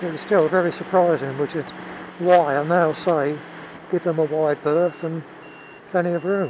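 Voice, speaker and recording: Speaking with a southern English accent, a man with a fairly high pitch keeps a moderate pace and fairly even intonation, with long, frequent pauses and noticeable background noise. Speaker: motorcycle vlogger. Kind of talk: casual vlog monologue. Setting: outdoors riding a motorbike. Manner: halting.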